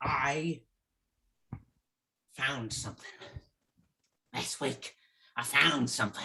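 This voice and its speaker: A man puts on a raspy character voice at a medium pitch. His pace is fairly slow, broken by long, frequent pauses. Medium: stage play.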